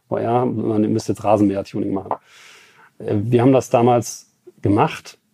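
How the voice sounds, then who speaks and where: A man with a fairly low, monotone voice, flat in intonation, at a moderate pace with long, frequent pauses. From Germany, Ruhr area (Bottrop). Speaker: car tuning company CEO. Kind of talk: interview. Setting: company premises.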